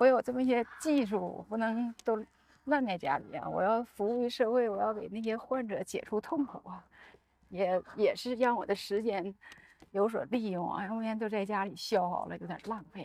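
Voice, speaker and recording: Her pitch is fairly high, with ordinary pitch variation. The woman has an unremarkable speaking voice and talks at a moderate pace. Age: 60s. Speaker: doctor. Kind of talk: casual chat. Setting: outdoors, walking.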